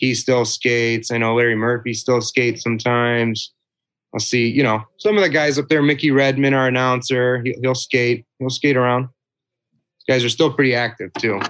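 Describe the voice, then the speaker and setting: With an American accent, a man uses an ordinary speaking voice at medium pitch, moving at a moderate pace with fairly even intonation. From Detroit, Michigan. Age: 20s. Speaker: business family heir and hockey fan. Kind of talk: interview.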